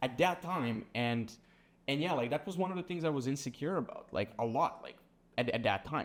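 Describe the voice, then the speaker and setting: A man talks in a Serbian accent with a fairly high pitch. His pace is fairly quick and his intonation lively. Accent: Serbian accent, sometimes taken for Russian. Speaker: sales agency founder. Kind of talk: casual chat. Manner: casual, peppered with like and bro.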